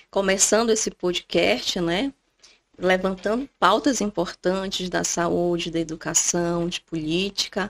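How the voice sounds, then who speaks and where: Woman's medium-pitched voice with vocal fry, in a dry, close sound with no echo. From Brazil, Amapá. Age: 30s. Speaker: doctor. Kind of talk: podcast conversation.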